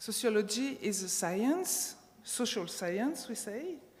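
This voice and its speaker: With a non-native accent, a woman speaks at a very slow pace using ordinary pitch variation. Audible room echo surrounds her voice. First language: not English. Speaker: sports sociologist, conference speaker. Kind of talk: conference talk. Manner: halting, many fillers.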